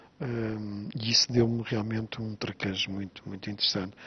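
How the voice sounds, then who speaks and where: Moderately paced male voice, fairly low in pitch, intonation fairly even. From Azores, Pico island. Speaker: writer. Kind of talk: interview. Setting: on location on Pico island. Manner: halting, with frequent repetitions and fillers.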